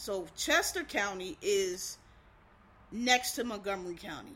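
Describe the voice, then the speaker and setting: Her tone bright and sharp, a woman speaks with an American accent. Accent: Philadelphia, toned down. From Philadelphia, US. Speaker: podcast host. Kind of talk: casual podcast monologue. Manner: casual, informal, hurried.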